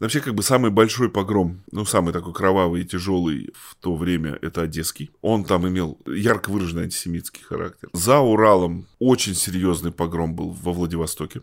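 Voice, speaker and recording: A very deep, low-pitched man at a moderate pace, with ordinary pitch variation, big swings in loudness and hardly any pauses, on a very clean recording with a silent background. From Russia, Tomsk (Siberia). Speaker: journalist and local historian, novelist. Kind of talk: interview. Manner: halting, many fillers.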